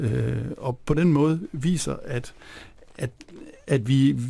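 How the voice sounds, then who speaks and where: Dark, mellow, somewhat breathy male voice at a fairly high pitch with ordinary pitch variation, on a very clean recording with a silent background. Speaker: philosopher. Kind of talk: radio interview. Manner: halting.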